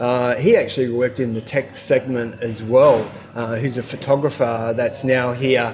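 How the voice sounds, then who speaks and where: Speaking at a moderate pace with hardly any pauses, a man keeps a flat, monotone intonation over noticeable background noise. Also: medium pitch for a man. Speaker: expat vlogger interviewer. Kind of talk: casual interview host.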